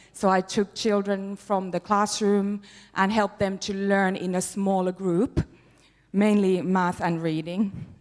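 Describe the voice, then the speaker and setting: Speaking in a Finnish accent, the voice keeps a fairly slow pace and fairly even intonation. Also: woman. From Finland. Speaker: teacher. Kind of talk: workshop presentation. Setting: workshop with live audience. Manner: calm.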